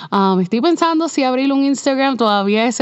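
A woman's ordinary speaking voice at a fairly quick pace, with ordinary pitch variation. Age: 30s. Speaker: podcast host, web designer. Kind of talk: casual monologue. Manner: conversational, code-switching with English fillers.

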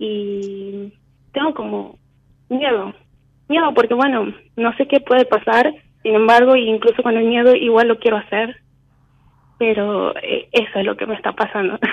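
A woman's fairly high voice, fairly slow with long, frequent pauses and fairly even intonation. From Argentina, Tucumán. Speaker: caller. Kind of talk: phone call consultation.

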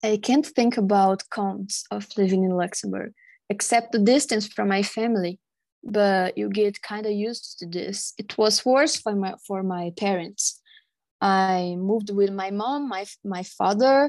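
A woman in a Portuguese accent at medium pitch, fairly slow, with ordinary pitch variation against a quiet background. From Brazil. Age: 20s. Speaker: podcast guest. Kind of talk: casual interview.

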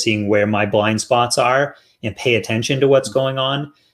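A man talks fairly quickly in a normal speaking voice, keeping his intonation fairly even. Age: 40s. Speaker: podcast host. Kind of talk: interview.

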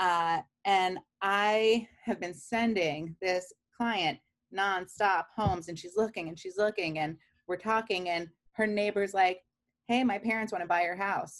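A woman with an American accent uses an ordinary speaking voice at medium pitch, talking at a fairly slow pace with fairly even intonation. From Queens, New York. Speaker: real estate agent. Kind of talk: interview.

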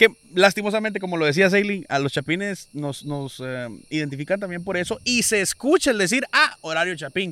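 Recorded dry and close with no echo, a man talks fairly quickly at a high pitch in a bright, sharp tone with lively intonation. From Guatemala. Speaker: podcast host. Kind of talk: casual chat. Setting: outdoors.

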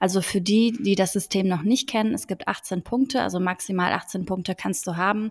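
A woman's somewhat breathy voice at medium pitch moves at a moderate pace with hardly any pauses and ordinary pitch variation, recorded very cleanly against a silent background. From Frankfurt am Main, Germany. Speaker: podcast host, law graduate from media industry. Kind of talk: casual chat.

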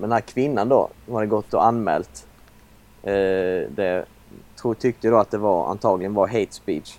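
Using a normal speaking voice, a man talks at a moderate pace and a fairly low pitch with ordinary pitch variation. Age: 20s. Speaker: podcast co-host. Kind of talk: casual chat.

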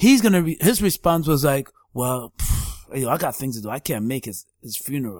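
Speaking at a moderate pace, a man makes very wide pitch swings and big shifts in loudness on a very clean recording with a silent background. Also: fairly high pitch for a man. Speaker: podcast host. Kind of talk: casual chat.

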